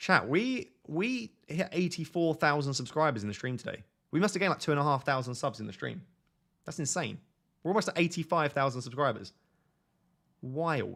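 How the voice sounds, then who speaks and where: A man with a British accent speaks at a fairly quick pace in a fairly high pitch, his intonation lively. Long pauses come often, and the recording is very clean with a silent background. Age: 20s. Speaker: fantasy football streamer. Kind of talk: live stream chat. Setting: live stream on camera. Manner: casual, chatty.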